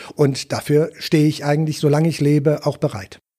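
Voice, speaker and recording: Somewhat breathy and dark, mellow in tone, a man with a fairly high pitch speaks at a moderate pace. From Wuppertal, Germany. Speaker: politician, member of parliament. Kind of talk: interview. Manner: hesitant, many fillers.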